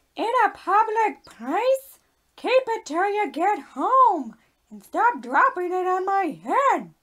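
A cartoonish character voice pitched extremely high moves at a fairly slow pace. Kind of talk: comedy puppet skit.

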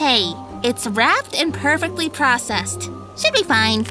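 Woman in a put-on character voice at a moderate pace, with clear music in the background. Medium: audio drama. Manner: playful.

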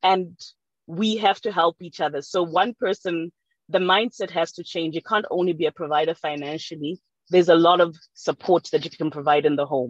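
A woman speaks at a moderate pace with a fairly low pitch and ordinary pitch variation. The background is quiet and the sound is dry, with no echo. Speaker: audience participant; panellist. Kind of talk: audience comment. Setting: video call. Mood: calm, reflective. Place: car. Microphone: video call.

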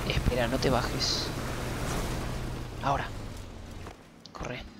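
Loud background noise surrounds a man speaking at a fairly slow pace. The sound is dry, with no echo. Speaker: gamer streaming with partner. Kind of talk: casual gameplay commentary. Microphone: headset.

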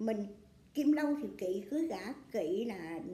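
A woman's lively intonation comes through with audible room echo. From Vietnam. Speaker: astrology fortune teller. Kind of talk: astrology reading monologue. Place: home room.

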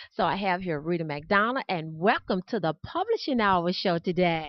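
With an American accent, a woman uses a plain, everyday voice at a medium pitch, a moderate pace and ordinary pitch variation. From US South. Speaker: evangelist and podcast host. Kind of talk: interview; ad read. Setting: on location.

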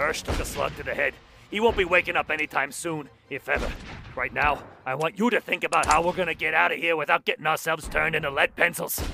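A man's put-on character voice, fairly high in pitch, with a bright, sharp tone, vocal fry, fairly even intonation and a fairly quick pace

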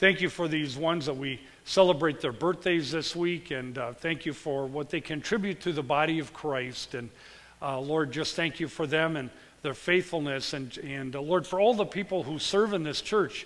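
His speed is moderate. This man's pitch rises and falls in an ordinary way. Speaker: pastor. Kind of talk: spoken prayer in church service. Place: church.

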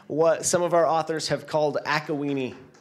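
A man at a moderate pace, fairly high in pitch, with an American accent. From Washington State, US. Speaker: company founder speaking at a conference; conference presenter. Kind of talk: conference keynote. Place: hall. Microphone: handheld.

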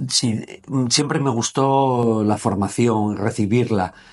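A plain, everyday voice speaks at a fairly slow pace with ordinary pitch variation. The background is quiet. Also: man. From Gijón, Asturias, Spain; Asturias, Spain. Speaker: former footballer and sports business founder; interviewee. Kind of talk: casual interview. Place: meeting room. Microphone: lapel.

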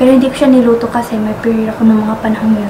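Noticeable background noise runs under the recording. A woman talks with monotone, flat intonation. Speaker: vlogger. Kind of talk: casual vlog chat. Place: home room. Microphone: camera far.

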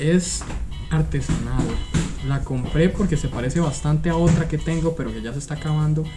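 With clear music in the background, a man talks at a fairly quick pace. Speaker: home cook vlogger. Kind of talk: casual cooking vlog chat. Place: home room. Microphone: camera far.

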